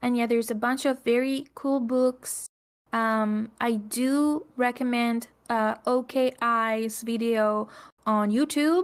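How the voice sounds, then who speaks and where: A very slow pace and fairly even intonation on a very clean recording with a silent background. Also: woman, high pitch for a woman, very even loudness. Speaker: podcast co-host. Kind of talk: casual chat.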